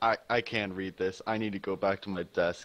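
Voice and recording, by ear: Mumbling in a put-on character voice, a man speaks at a fairly low pitch and a moderate pace with monotone, flat intonation against a quiet background.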